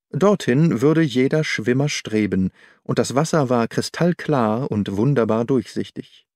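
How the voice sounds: On a very clean recording with a silent background and a dry, close sound with no echo, a man speaks at a fairly slow pace with lively intonation and a slightly mellow tone. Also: medium pitch for a man.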